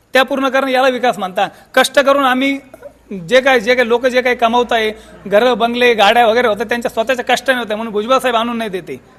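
Noticeable background noise sits behind a man's voice. His pitch is extremely high, with fairly even intonation. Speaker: local villager. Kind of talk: street interview.

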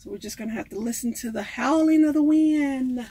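A dark, mellow tone at a moderate pace. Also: woman. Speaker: van life vlogger. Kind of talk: casual cooking vlog chat. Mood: relaxed, slightly amused. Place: kitchen. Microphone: phone near.

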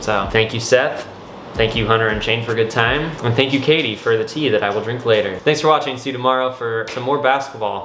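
A man at a fairly quick pace with few pauses and faint background noise. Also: medium pitch for a man, ordinary pitch variation, fairly bright tone.

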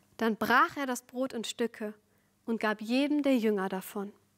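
Behind her, things are quiet. Her delivery runs fairly slow, and her pitch shifts in an ordinary way. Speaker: preacher. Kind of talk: sermon. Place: studio.

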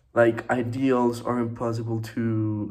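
A man's monotone, flat delivery at a very slow pace, with audible room echo. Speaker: student. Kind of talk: student presentation. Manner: hesitant, many fillers.

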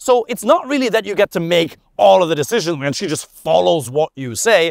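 A man talks at a moderate pace with very wide pitch swings, the sound dry with no echo. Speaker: relationship coach. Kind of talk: advice talk to camera. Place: open country.

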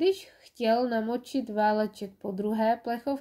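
The intonation stays fairly even during reading aloud in a natural voice.

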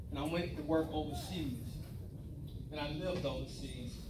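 Noticeable noise sits behind a man with an American accent. He speaks at a fairly quick pace. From Tampa, Florida. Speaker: retired military, brother of honoree. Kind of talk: birthday roast speech. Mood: warm, humorous. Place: hall.

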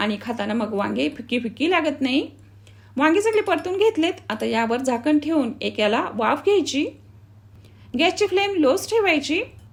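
Her pitch sits high, and this woman's voice makes very wide pitch swings. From Marathwada, Maharashtra, India. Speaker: cooking channel host. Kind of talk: cooking tutorial.

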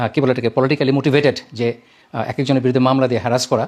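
This man speaks in an ordinary speaking voice at a medium pitch. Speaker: lawyer. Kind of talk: video statement of protest.

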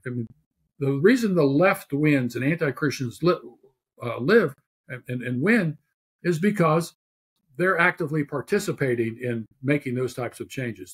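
A somewhat breathy, fairly high-pitched man with an American accent and lively intonation at a moderate pace. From Pittsburgh, Pennsylvania. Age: 70s. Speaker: theologian and author. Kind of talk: interview.

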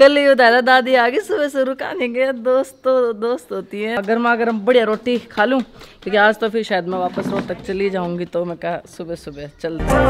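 Over light background noise, a woman talks at a moderate pace with lively intonation and hardly any pauses. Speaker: vlogger. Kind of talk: casual vlog chat. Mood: cheerful, playful. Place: home room. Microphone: phone near.

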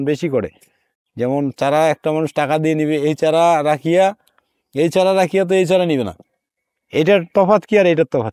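A man with a fairly high pitch, a dark, mellow tone and ordinary pitch variation, dry with no echo against a quiet background. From Bangladesh, Rangpur; Bangladesh. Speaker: nursery farmer. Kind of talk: interview.

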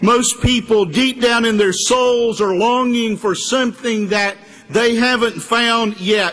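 A man with an extremely high pitch, a fairly slow pace and fairly even intonation. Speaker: preacher. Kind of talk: sermon. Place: church. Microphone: podium.

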